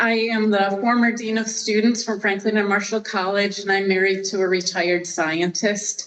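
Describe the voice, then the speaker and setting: Flat, monotone intonation in a woman's medium-pitched voice. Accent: Western New York. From Western New York. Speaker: retired college dean, local resident. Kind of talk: public comment at council meeting. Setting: council meeting room.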